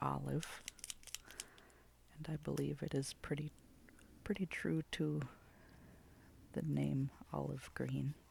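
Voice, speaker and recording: The speaker is soft-spoken and talks at a very slow pace. Long, frequent pauses break up the words. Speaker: ASMR creator. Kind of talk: ASMR soft-spoken art swatching chat.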